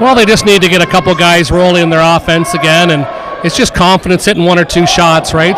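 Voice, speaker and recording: Against crowd noise in the background, the speech moves at a fairly quick pace with fairly even intonation. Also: man. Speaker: color commentator. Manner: casual, analytical, with filler hesitations.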